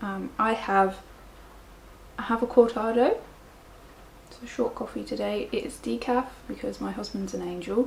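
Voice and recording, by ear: Soft-spoken and fairly slow, a woman talks at a medium pitch with vocal fry and fairly even intonation.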